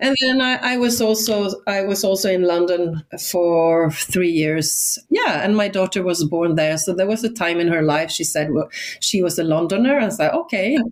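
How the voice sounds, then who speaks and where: Over noticeable background noise, a woman with a medium pitch talks at a very even loudness, her intonation lively. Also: moderate pace. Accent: Swedish. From northern Sweden, Swedish Lapland. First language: Swedish. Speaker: educator and education entrepreneur. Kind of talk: podcast interview. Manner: animated.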